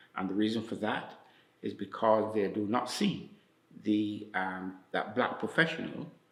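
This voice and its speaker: There is audible room echo around a man with a fairly low pitch. He speaks at a fairly slow pace with ordinary pitch variation. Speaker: community elder. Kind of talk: interview testimony. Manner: halting, many fillers.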